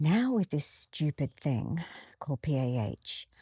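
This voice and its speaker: A woman's very deep, low voice, dark and mellow in tone and somewhat breathy, with a dry, close sound and no echo. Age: 60s. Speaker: former ballerina and video blogger. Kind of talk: personal reflection monologue. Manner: conversational, hesitant.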